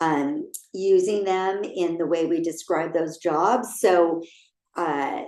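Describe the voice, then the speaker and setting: Speaking at a very slow pace, a woman uses a fairly low pitch with ordinary pitch variation. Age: 60s. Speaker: career coach. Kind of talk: online workshop presentation.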